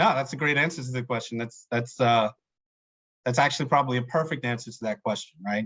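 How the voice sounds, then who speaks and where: Someone with a New York accent talks very fast with fairly even intonation. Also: man, medium pitch for a man. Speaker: supply chain podcast host. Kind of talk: interview.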